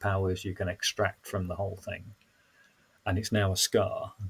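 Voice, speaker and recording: In a Yorkshire accent, a man speaks at a very deep, low pitch in a somewhat breathy, monotone, flat way, on a very clean recording with a silent background. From northern England, Sheffield. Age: 60s. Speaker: council facilitator and trainer. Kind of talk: reflective conversation.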